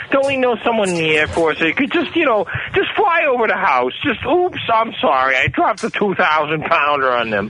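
A man speaks in a raised, projected voice, high-pitched for a man, with very wide pitch swings and very even loudness. His pace is moderate with hardly any pauses, over noticeable background noise. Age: 40s. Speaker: caller. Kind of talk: casual chat. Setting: phone call.

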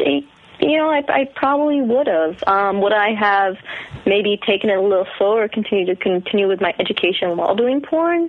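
At a moderate pace, the speaker's pitch swings very widely amid noticeable background noise. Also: woman. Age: 30s. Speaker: adult film performer. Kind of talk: interview. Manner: hesitant.

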